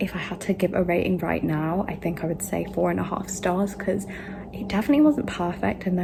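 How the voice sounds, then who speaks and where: The voice is quiet and very fast, with ordinary pitch variation. Background noise is noticeable. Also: woman. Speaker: booktuber vlogger. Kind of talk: casual vlog talk to camera. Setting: at home late at night. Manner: quiet, hushed; excited, gushing.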